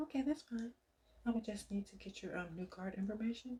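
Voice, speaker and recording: A soft-spoken woman talks at a fairly quick pace with a fairly high pitch and ordinary pitch variation. Her tone is dark and mellow, and somewhat breathy. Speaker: ASMR creator doing customer service roleplay. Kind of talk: customer service phone roleplay.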